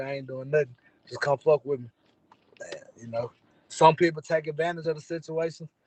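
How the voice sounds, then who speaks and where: A man talks fairly quickly in a fairly high, somewhat breathy voice. His intonation is flat and monotone. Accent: American. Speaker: rapper. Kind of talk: casual interview. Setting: in a car. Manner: laid back.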